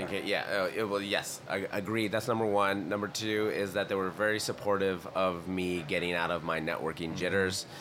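Fairly even intonation at a fairly quick pace, with hardly any pauses and noticeable background noise. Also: man. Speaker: podcast industry professional. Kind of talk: casual chat. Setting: live at a conference.

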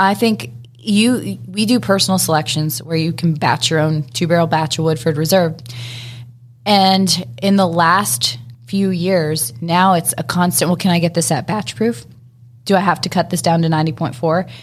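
A woman speaks at a moderate pace with a fairly low pitch and lively intonation. Her voice is somewhat breathy and very even in loudness. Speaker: distiller. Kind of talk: interview.

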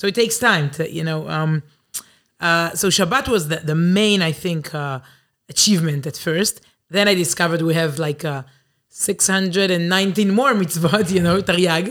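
Recorded very cleanly against a silent background, a woman with an Israeli accent speaks at a moderate pace in a fairly low voice with ordinary pitch variation. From Israel, Herzliya. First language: Hebrew. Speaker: journalist and Torah teacher. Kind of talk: interview. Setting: studio.

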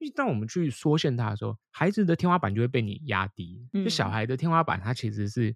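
A man with a medium-pitched voice and lively intonation talks very fast, and the sound is dry and close with no echo. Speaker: English teacher and podcaster. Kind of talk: casual interview chat.

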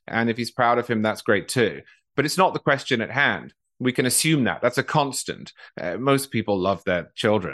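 A man with a British accent speaks at a medium pitch and moderate pace, with lively intonation and vocal fry. The sound is dry and close with no echo, and the background is quiet. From England. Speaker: political writer, podcaster. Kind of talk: interview.

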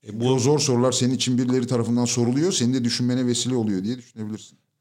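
A man speaks at a medium pitch. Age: 40s. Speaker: corporate training consultant. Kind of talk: casual chat.

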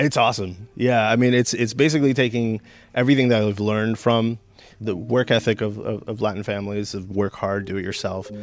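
In a plain, everyday voice, a man with an American accent talks at a fairly quick pace, his pitch fairly low and his intonation fairly even. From San Gabriel Valley, California. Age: 30s. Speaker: record store owner. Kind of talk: casual interview.

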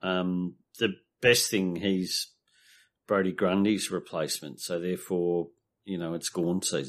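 Against a quiet background, a man with an Australian accent speaks at a fairly slow pace in a very deep, low pitch, his intonation fairly even and broken by long, frequent pauses. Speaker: fantasy football pundit. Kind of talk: casual chat. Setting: video call.

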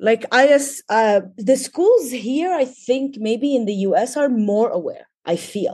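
A woman speaks at a very slow pace in a high voice with lively intonation and a dark, mellow tone, against a quiet background. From Lebanon. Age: 40s. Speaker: poet. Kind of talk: casual interview.

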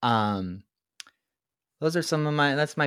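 A man speaks in a normal speaking voice at a moderate pace, his intonation lively. The recording is very clean, with a silent background. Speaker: podcast producer. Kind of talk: casual chat.

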